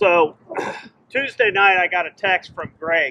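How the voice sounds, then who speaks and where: There is noticeable background noise. A man talks at a high pitch. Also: dry, close sound with no echo. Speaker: friend giving tribute. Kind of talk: memorial tribute speech. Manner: loud. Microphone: no microphone.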